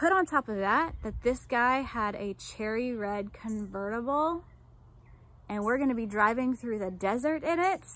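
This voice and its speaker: A woman with an American accent speaks at a high pitch and moderate pace, her intonation lively, in a dry sound with no echo. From United States. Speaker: life coach and army veteran; vlogger telling personal story. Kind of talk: personal testimony vlog. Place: garden. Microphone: phone near.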